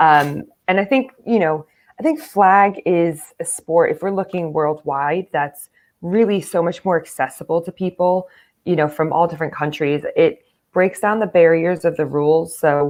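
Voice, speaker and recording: Speaking in a normal speaking voice with an American accent, a woman keeps a moderate pace, a fairly low pitch and ordinary pitch variation. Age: 30s. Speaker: American football player and coach. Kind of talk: interview.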